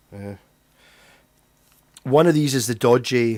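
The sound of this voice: The speaker has a Scottish accent. The pace is moderate. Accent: Scottish, rolled R's.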